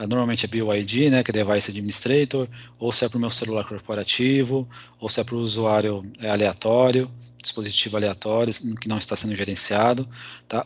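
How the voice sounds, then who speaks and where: A man with a Brazilian accent speaks at a moderate pace in a medium pitch, his intonation fairly even. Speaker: IT security speaker. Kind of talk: technical presentation.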